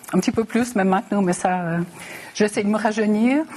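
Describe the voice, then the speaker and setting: Noticeable background noise sits behind a woman speaking at a fairly high pitch. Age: 60s. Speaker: mayor and election candidate. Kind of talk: televised political debate.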